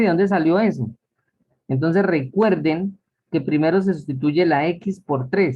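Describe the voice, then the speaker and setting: At a fairly slow pace, a man speaks in a high pitch with lively intonation. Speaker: math teacher. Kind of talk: lecture.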